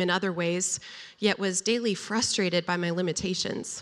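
A woman talks in a plain, everyday voice at a moderate pace, her intonation fairly even. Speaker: storyteller. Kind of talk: personal testimony.

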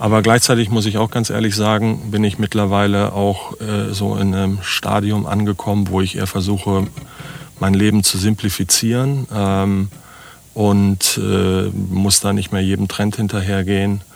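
Noticeable background noise sits behind a man speaking at a moderate pace with a fairly low pitch. His intonation is monotone and flat, and his loudness very even. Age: 50s. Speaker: startup founder. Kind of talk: interview conversation. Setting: on-site at guest's place, recorded in a vehicle.

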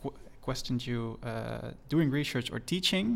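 A man with a Dutch accent speaks at a medium pitch. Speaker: podcast host. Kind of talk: interview.

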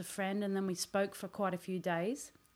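A woman at a medium pitch with an Australian accent, at a moderate pace. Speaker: podcast segment presenter. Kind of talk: casual chat. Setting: studio.

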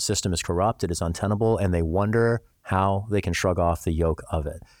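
With an American accent and a plain, everyday voice, a man speaks at a fairly quick pace and fairly low pitch, with ordinary pitch variation, on a very clean recording with a silent background that sounds dry and close with no echo. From US Midwest, Missouri. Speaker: congressional candidate and lawyer. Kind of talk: interview.

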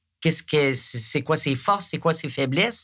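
A woman's very deep, low voice comes through on a very clean recording with a silent background. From Quebec, Eastern Townships. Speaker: retired border services manager, volunteer. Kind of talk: casual interview chat.

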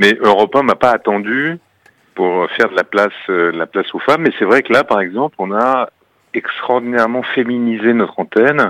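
A man's normal speaking voice at a medium pitch and moderate pace, with ordinary pitch variation and a dry, close sound with no echo. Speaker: radio executive. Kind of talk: radio interview.

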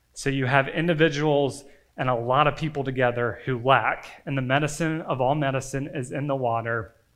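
Audible room echo around a man's fairly high voice at a moderate pace. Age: 30s. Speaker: campus ministry pastor. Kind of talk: sermon. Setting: church.

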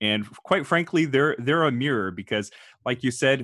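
A very clean, silent-background recording of a man at medium pitch, moderate pace, and ordinary pitch variation. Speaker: podcast host and engineer. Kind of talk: interview.

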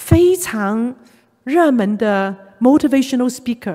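A woman with a Cantonese accent speaks at a fairly high pitch in a dark, mellow tone with very wide pitch swings. The recording is very clean, with a silent background. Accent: Cantonese accent in Mandarin. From Hong Kong. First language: Cantonese (speaking Chinese). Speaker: retired executive and church elder, workplace ministry speaker. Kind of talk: church talk / sermon-style lecture.

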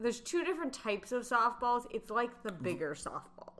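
With noticeable background noise behind her, a woman speaks at a high pitch that swings very widely. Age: 30s. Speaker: podcast co-host. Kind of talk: casual chat.

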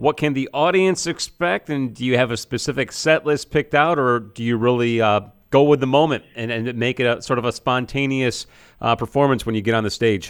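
A man's unremarkable speaking voice at medium pitch, with ordinary pitch variation and a fairly quick pace, in a very clean recording with a silent background. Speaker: radio host. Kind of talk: radio interview. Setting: studio.

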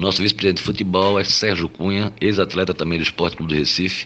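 This man has a very deep, low voice. He talks at a fairly quick pace with ordinary pitch variation. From Olinda, Pernambuco, Brazil. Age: 50s. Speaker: lawyer and club presidential candidate. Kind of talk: interview answers. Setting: recorded voice message.

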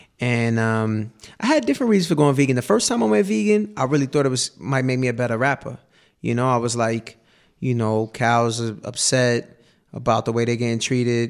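A normal speaking voice from a man with an American accent, medium pitch, ordinary pitch variation and a fairly quick pace, in a very clean recording with a silent background. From New York City. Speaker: rapper. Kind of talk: radio interview chat. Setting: radio studio.

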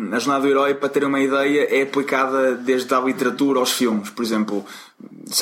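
A man with a European Portuguese accent speaks at a moderate pace and medium pitch. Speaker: storytelling expert and former salesman. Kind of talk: interview.

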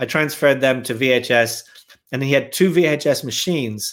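A man with a Dublin accent, fairly high in pitch with ordinary variation, at a moderate pace, in a very clean recording with a silent background. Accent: Dublin Irish. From Ireland, Dublin. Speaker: filmmaker. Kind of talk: casual chat.

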